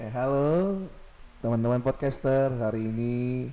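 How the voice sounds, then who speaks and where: A man's medium pitch and dark, mellow tone, ordinary pitch variation, very slow pace and audible room echo. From Samarinda, East Kalimantan, Indonesia. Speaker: podcast co-host. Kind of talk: casual chat.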